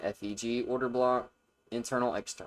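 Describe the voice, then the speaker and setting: A man speaks at a medium pitch in a monotone, flat intonation. The recording is very clean, with a silent background. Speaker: day trader. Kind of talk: trading chart review. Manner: fast; casual.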